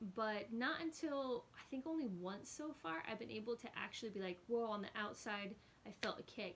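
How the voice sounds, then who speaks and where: Noticeable background noise sits behind a woman with an American accent who speaks at a fairly quick pace, pitched fairly high, with lively intonation. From Los Angeles, US. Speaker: vlogger. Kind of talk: casual vlog talk to camera.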